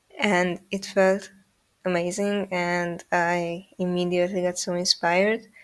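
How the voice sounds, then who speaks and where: The speaker has a non-native accent. Their intonation stays monotone and flat. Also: woman, fairly low pitch for a woman, fairly slow pace. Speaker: animator. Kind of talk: casual chat. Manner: halting, many fillers.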